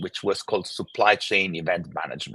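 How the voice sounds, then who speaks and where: A man with an Italian accent is recorded in dry, close sound with no echo. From Italy. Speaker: tech company founder and CEO. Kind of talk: interview. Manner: halting, many fillers and repeats.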